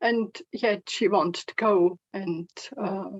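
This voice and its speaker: With a non-native accent, a woman talks using ordinary pitch variation. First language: not English. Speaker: online meeting participant. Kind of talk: personal sharing. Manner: halting.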